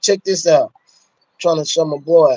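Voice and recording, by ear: The voice has a slightly mellow tone, a moderate pace and ordinary pitch variation. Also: man.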